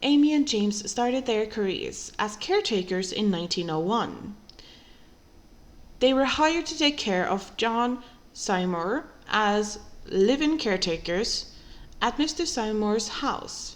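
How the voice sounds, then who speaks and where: With a non-native accent, a woman speaks at a fairly slow pace in a fairly high pitch and lively intonation. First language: not English. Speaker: true crime podcaster. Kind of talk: scripted narration.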